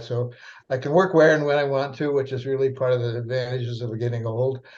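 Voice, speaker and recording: A man's somewhat breathy voice at medium pitch, with monotone, flat intonation. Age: 80s+. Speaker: psychiatrist and author. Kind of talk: interview. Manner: halting, many fillers.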